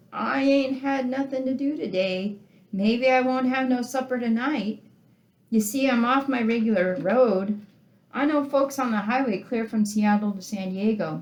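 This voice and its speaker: Using a put-on character voice, a woman speaks at a moderate pace with a fairly high pitch, sounding whiny and sad in tone. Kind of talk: folksy, ungrammatical. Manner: whining, sad.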